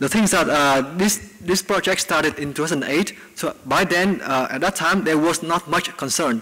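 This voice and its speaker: A man's fairly high voice at a fairly quick pace, with ordinary pitch variation over noticeable background noise. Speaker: researcher giving invited talk. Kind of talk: Q&A after lecture. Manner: fast.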